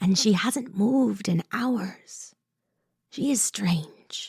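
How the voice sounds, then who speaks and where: A woman's put-on character voice at a medium pitch and a very slow pace. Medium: audio drama. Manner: blunt, clipped broken English, dropping articles.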